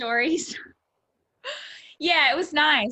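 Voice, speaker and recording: Lively in intonation, a woman talks in an Australian accent. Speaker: pastor. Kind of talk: interview.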